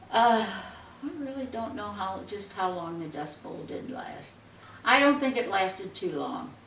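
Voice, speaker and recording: The speech is fairly slow, with big swings in loudness. Audible room echo and noticeable background noise are present. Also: woman, fairly high pitch for a woman, lively intonation. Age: 80s+. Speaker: interviewee recalling the Depression. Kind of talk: casual interview. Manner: halting.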